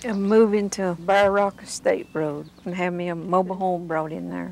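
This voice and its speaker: A woman with an Appalachian accent speaks at a moderate pace and medium pitch, keeping her intonation fairly even. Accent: Appalachian Southern US. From US South, Appalachian North Carolina. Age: 60s. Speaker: mountain resident. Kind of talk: interview.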